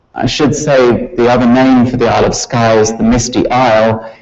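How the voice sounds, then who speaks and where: A man with a medium pitch talks at a moderate pace while noticeable background noise carries on behind him. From Scotland. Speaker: university professor. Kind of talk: lecture.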